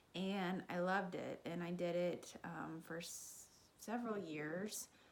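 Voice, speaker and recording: A woman has an unremarkable speaking voice with a fairly low pitch. She talks at a fairly slow pace with fairly even intonation. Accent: American. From Kansas and Texas. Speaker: fitness vlogger, triathlete. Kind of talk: personal story. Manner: casual, many fillers.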